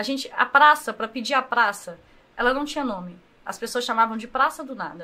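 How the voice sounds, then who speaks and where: Talking at a fairly quick pace, a woman uses a high pitch, a bright, sharp tone, ordinary pitch variation and big swings in loudness. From Brazil, Governador Valadares (Minas Gerais). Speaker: social project leader. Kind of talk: casual interview.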